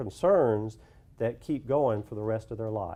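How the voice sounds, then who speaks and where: Speaking at a moderate pace, a man with an Alabama accent has a dark, mellow tone. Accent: Southern US (Alabama). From US South, rural central Alabama (Autauga County). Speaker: social worker at an HIV care nonprofit. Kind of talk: presentation.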